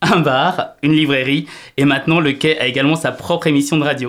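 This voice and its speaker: A man speaks in a plain, everyday voice. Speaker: radio host. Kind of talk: radio presentation. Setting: studio.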